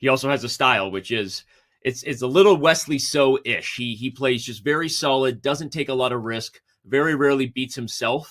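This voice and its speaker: A man speaks in a normal speaking voice at medium pitch, with ordinary pitch variation and a moderate pace. The recording is very clean, with a silent background. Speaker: chess commentator. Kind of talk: live commentary.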